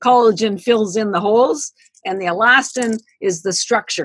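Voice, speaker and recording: In an ordinary speaking voice, a woman talks at a moderate pace, her fairly high pitch carried by lively intonation. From Canada. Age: 60s. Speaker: founder of a supplement company. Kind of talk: podcast interview.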